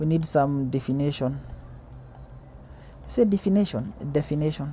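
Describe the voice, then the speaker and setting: Somewhat breathy and dark, mellow in tone, a man with a fairly high pitch talks at a moderate pace with ordinary pitch variation. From Kenya, Githurai, Nairobi area. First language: Kikuyu. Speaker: photography teacher. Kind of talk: tutorial. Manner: casual, conversational.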